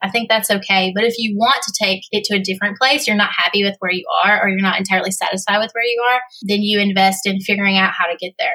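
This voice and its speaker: A woman talks at a very fast pace in a medium pitch. Her pitch varies an ordinary amount. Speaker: copywriter and funnel specialist. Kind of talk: casual chat. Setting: studio.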